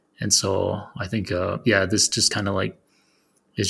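Bright, sharp tone with vocal fry, in an American accent. The pace is moderate. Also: man. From Arizona. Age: 30s. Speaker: podcast host. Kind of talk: casual interview chat. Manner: halting.

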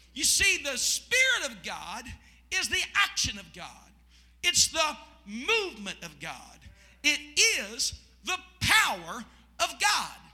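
Over noticeable background noise, a man with an extremely high voice talks at a fairly slow pace, his pitch swinging very widely and his loudness shifting a lot, with long, frequent pauses. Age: 40s. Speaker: pastor. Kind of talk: Pentecostal evening sermon, call-and-response preaching. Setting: church service with congregation. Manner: fervent, rising preacher cadence with shouted congregation prompts; repetitive, rhythmic emphasis with restarts.

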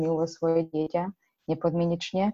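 Against a quiet background, a woman talks in a dark, mellow tone with a fairly low pitch and monotone, flat intonation. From Ukraine. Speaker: children's book author. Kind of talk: interview.

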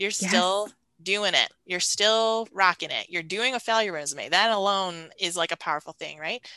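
Against a quiet background, in a dry, close sound with no echo, a woman speaks at a medium pitch and moderate pace, with a bright, sharp tone and ordinary pitch variation. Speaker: creativity coach. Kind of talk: casual interview chat. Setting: video call. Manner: soothing, calm.

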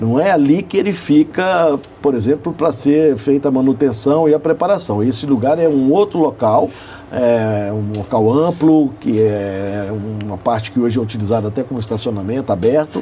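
Over noticeable background noise, a man talks at a moderate pace with a medium pitch and lively intonation. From Belo Horizonte, Brazil. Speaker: motorsport event organizer, company CEO. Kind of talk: radio interview. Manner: hesitant, many fillers.

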